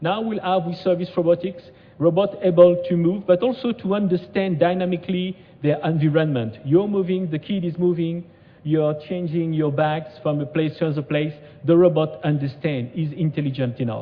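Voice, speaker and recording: A man with a French accent speaks in a high pitch at a moderate pace, with ordinary pitch variation. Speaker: conference speaker, robotics researcher. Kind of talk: conference presentation. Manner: halting, many fillers.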